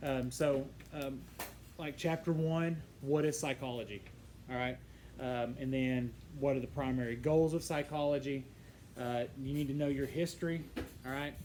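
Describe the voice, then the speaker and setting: In a room with audible echo, a man with a fairly high voice talks at a moderate pace, pausing long and often. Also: fairly even intonation. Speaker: psychology teacher. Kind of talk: lecture. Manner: halting, many fillers.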